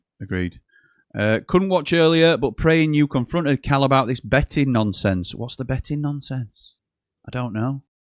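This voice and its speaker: A man in a South Yorkshire accent, medium in pitch with lively intonation, recorded with a dry, close sound with no echo against a quiet background. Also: moderate pace. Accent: Yorkshire, Barnsley twang. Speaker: football fan channel host. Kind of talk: live football watchalong chat. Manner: conversational, casual.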